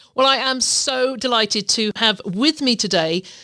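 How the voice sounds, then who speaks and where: A woman speaks in a fairly high pitch with an English accent. Her pace is fairly slow and her pitch swings very widely. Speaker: podcast host. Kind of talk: podcast interview.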